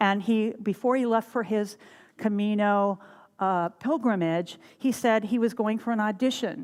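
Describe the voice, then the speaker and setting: A woman's fairly high pitch with ordinary pitch variation. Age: 60s. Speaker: minister. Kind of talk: sermon. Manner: animated.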